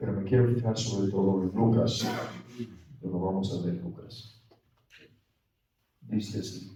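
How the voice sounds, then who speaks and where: At a fairly slow pace with long, frequent pauses, a man speaks in a fairly low, somewhat breathy voice of dark, mellow tone, with fairly even intonation and audible room echo. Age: 60s. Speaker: priest leading a spiritual retreat. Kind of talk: retreat meditation talk. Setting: retreat for priests.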